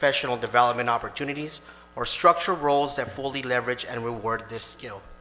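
Over music in the background and audible room echo, a man speaks at a medium pitch and a fairly quick pace with fairly even intonation. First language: Spanish. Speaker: police officer giving public comment. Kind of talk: prepared public comment at council meeting. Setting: city council chamber. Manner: formal, read from prepared text.

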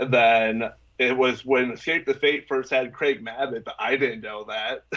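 With an American accent, a man speaks at a fairly slow pace. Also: quiet background. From Minnesota. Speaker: vocalist and music promoter; interview guest. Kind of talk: casual interview. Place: home room. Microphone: video call.

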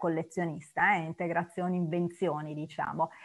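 Against a quiet background, a woman is speaking. Her pace is fairly quick. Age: 50s. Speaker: art historian lecturer. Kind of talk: lecture. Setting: video call. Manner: halting, many fillers and repetitions. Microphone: video call.

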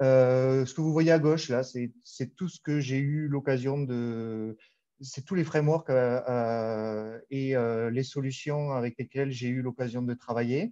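A man with a Toulouse accent speaks at a very slow pace in a dark, mellow tone with fairly even intonation against a quiet background. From southern France, Toulouse; southern France. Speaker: data architect, conference speaker; conference speaker. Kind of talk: conference talk. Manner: hesitant, many fillers. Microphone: video call.

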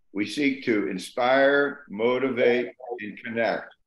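Over a quiet background, a man talks at a very slow pace with audible room echo. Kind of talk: informal presentation. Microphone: video call.

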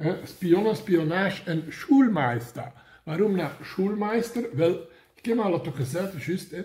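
A man's high-pitched voice with a dark, mellow tone, a fairly slow pace and lively intonation. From Mechelen, Belgium. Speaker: comic book vlogger. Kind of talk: casual talk to camera. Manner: humorous, rambling. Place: home room. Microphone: phone near.

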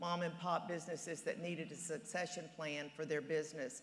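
A woman speaks at a fairly low pitch. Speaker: candidate. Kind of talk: debate opening statement. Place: stage. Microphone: lapel.

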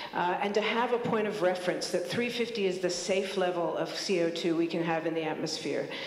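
A woman at a moderate pace with fairly even intonation and audible room echo. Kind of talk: public talk / testimony. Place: hall. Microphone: handheld.

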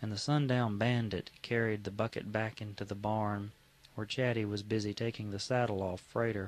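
Here is a natural reading voice. Its intonation is fairly even.

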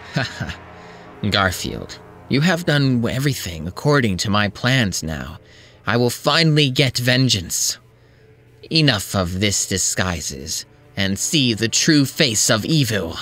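A man speaks at a fairly slow pace in a put-on character voice with a medium pitch. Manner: gloating, menacing.

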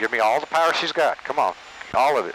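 A man's bright, sharp voice at a very fast pace, dry with no echo, over light background noise. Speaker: volunteer pilot instructor. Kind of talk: flight instruction. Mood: encouraging, patient. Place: plane. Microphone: headset.

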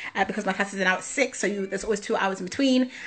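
In an East Midlands accent, a woman speaks with an animated tone and ordinary pitch variation. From England, Leicester; England. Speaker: musical theatre performer; dance workshop host. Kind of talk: casual social media Q&A. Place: home room. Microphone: phone near.

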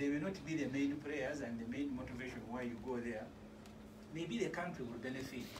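With noticeable background noise, a man speaks at a moderate pace with ordinary pitch variation. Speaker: guest. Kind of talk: political talk show discussion. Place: studio. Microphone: phone near.

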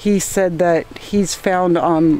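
Woman's voice, dry with no echo, over light background noise. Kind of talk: casual vlog chat. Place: farm machine. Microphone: phone near.

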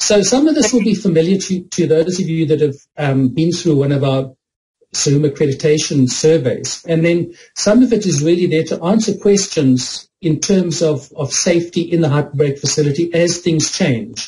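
A man's voice has a dark, mellow tone. His pitch varies in an ordinary way. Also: moderate pace. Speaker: conference presenter. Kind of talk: lecture. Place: home room. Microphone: video call.

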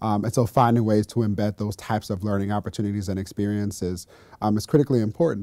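Delivered at a very fast pace with an American accent, the voice has a dark, mellow tone and fairly even intonation, recorded dry with no echo against a quiet background. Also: man, fairly low pitch for a man. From US West Coast, Los Angeles. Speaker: education policy official. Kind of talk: interview. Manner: halting, many fillers and repetitions. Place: studio. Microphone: lapel.

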